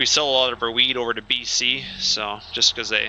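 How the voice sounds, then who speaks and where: A man speaks at a fairly quick pace in a medium pitch, his intonation monotone and flat. Noticeable background noise runs behind him. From Alberta, Canada. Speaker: game streamer and grain farmer. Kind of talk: live gameplay stream chat. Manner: casual, hesitant with fillers.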